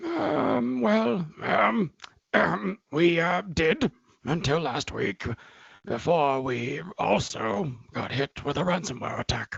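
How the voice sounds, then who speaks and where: Putting on a character voice, a man speaks very slowly in a raspy, fairly high pitch with lively intonation. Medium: audio drama. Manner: hesitant, stammering.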